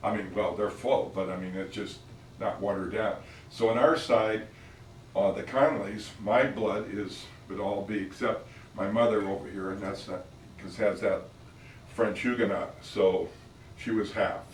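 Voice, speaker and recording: With an American accent, a man talks at a moderate pace with long, frequent pauses and audible room echo. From Northern California, Oakland. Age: 80s+. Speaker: family elder telling family history. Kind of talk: casual family storytelling. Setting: office, filmed for family. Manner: halting, many fillers.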